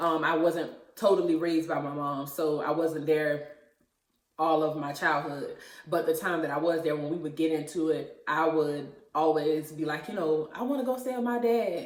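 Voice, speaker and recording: A woman with a very deep, low pitch and ordinary pitch variation speaks at a moderate pace with audible room echo. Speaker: YouTuber. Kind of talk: personal testimony. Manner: hesitant, many fillers.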